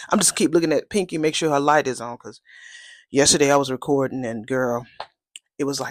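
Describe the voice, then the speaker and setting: At a fairly quick pace, a woman with a very deep, low pitch for a woman speaks in an animated tone with ordinary pitch variation, big swings in loudness and long, frequent pauses. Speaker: soap opera recap youtuber. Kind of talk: casual chat. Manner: quieter than usual.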